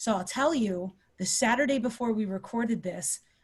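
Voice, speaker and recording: Somewhat breathy, a woman talks at a moderate pace with fairly high pitch and ordinary pitch variation. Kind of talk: casual podcast interview conversation.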